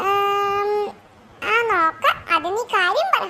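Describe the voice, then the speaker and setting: A squeaky, female-sounding cartoonish character voice sits at an extremely high pitch. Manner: sharp, scolding.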